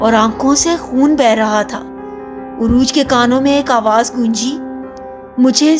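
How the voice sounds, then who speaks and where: A woman's voice with ordinary pitch variation over music in the background. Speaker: voice-over narrator. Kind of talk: horror story narration.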